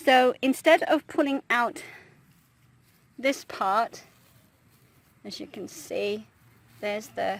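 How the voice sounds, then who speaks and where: A woman with a British accent speaks very slowly in a high voice with lively intonation, leaving long, frequent pauses. Her loudness swings widely, and the sound is dry and close with no echo. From Britain. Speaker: traditional archer. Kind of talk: casual tutorial talk to camera. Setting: outdoors. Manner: hesitant, frequent fillers.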